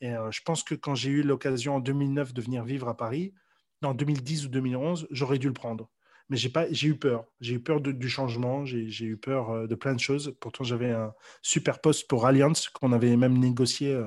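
Speaking at a moderate pace against a quiet background, a man talks at a medium pitch with fairly even intonation. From Belgium, Brussels. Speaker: sales coach. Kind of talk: casual interview. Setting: at home, remote interview. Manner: halting, many repetitions.

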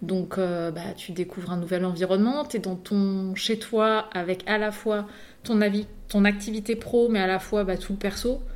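A woman has an unremarkable speaking voice at medium pitch, talking fairly slowly with fairly even intonation. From Paris region (Yvelines). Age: 30s. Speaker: consultant and trainer, entrepreneur. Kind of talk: casual interview.

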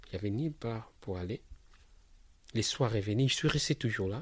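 Somewhat breathy and with lively intonation, a man speaks on a very clean recording with a silent background. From DR Congo, Kinshasa. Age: 30s. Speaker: refugee and maintenance technician. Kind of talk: personal testimony. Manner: halting, repetitive.

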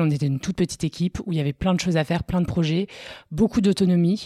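In a very clean recording with a silent background and a dry, close sound free of echo, a woman with a dark, mellow tone talks very fast with fairly even intonation. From northern France, Lille. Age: 30s. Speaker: entrepreneur and mother. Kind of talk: casual interview. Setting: at her home.

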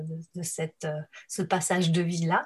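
This woman's voice is somewhat breathy. She talks at a fairly slow pace. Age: 50s. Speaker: helping professional. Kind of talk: interview. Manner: halting.

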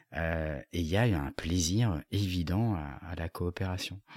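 In a calm tone with ordinary pitch variation, the voice sounds dry and close with no echo, on a very clean recording with a silent background. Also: man. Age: 40s. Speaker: business coach and facilitator. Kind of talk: interview.

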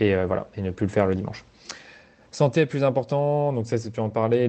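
A man with a medium pitch delivers his words at a fairly quick pace. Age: 20s. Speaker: agency founder. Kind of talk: casual chat. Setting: outdoors. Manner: halting.

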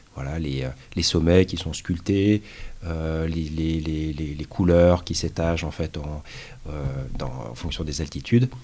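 The speech moves at a very slow pace with long, frequent pauses and ordinary pitch variation. Noticeable background noise is present. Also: man, very deep, low pitch for a man. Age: 40s. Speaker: mountaineer, automotive engineer. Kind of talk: casual interview. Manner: halting, many fillers.

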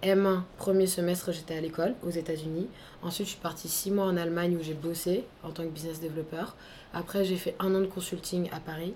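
A woman speaks at a fairly quick pace in a monotone, flat intonation, her fairly low, somewhat breathy voice dark and mellow in tone. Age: 20s. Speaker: entrepreneur, training company founder. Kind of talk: interview.

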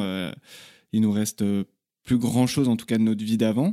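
On a very clean recording with a silent background, a man with a medium pitch and a dark, mellow tone sounds dry and close with no echo. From Paris region, France. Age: 30s. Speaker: traveller, former restaurant worker. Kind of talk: interview testimony. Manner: hesitant, many fillers.

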